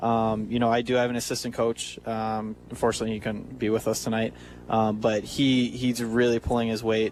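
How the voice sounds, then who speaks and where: A man talks with a Wisconsin accent at a medium pitch. His pace is fairly quick and his intonation monotone and flat. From small town in Wisconsin. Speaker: hockey coach and team owner. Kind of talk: radio interview. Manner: halting, many fillers.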